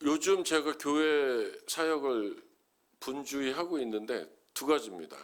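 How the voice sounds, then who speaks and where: A plain, everyday voice from a man with fairly high pitch and ordinary pitch variation, in a very clean recording with a silent background. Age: 60s. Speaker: pastor. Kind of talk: sermon.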